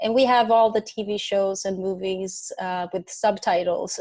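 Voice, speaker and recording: In a Swedish accent, a woman of medium pitch speaks in a dark, mellow tone with flat, monotone intonation. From Sweden. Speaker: singer-songwriter. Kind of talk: interview.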